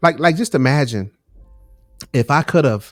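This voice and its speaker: A man's voice with very wide pitch swings at a moderate pace, dry and close with no echo, music playing in the background. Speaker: podcast host. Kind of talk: casual podcast conversation. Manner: casual, repetitive.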